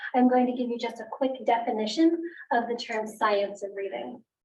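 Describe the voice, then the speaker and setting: Audible room echo surrounds a woman speaking in a fairly high pitch with fairly even intonation. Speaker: teacher. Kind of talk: presentation. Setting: school board meeting. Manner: fast.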